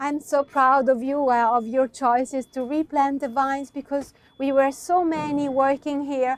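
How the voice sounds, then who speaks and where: Speaking with an Italian accent at a very slow pace, a woman uses a high pitch, and the sound is dry and close with no echo. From Italy, Verona (Veneto). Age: young. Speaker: wine producer. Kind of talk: interview. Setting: on location at winery. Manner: halting.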